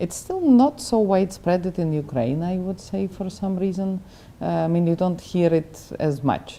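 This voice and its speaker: A woman with a fairly low pitch talks at a moderate pace in an unremarkable speaking voice. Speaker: doctor, interviewer. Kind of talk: interview questions.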